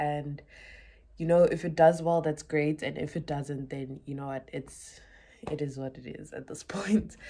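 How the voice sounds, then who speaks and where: A woman speaks in a dark, mellow tone against a quiet background. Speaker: vlogger. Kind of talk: casual vlog chat. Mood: relaxed, reflective, upbeat. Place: home room. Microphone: phone near.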